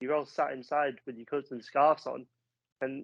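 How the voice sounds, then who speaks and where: In a northeast English accent, a man speaks at a moderate pace with a fairly high pitch, the sound dry and close with no echo. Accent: north-east English (Sunderland). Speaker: football fan pundit. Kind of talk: casual chat.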